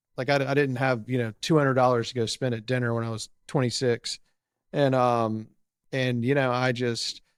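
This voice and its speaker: In an ordinary speaking voice with an American accent, the speaker talks at a fairly quick pace on a very clean recording with a silent background. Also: man. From Raleigh, North Carolina. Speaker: podcast host in recovery. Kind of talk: casual interview chat. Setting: podcast interview.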